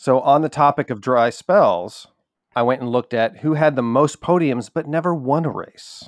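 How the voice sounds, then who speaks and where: Recorded very cleanly against a silent background, with a dry, close sound and no echo, a man talks in an ordinary speaking voice, fairly high in pitch, at a moderate pace with ordinary pitch variation. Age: 40s. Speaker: podcast producer presenting statistics. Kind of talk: casual chat.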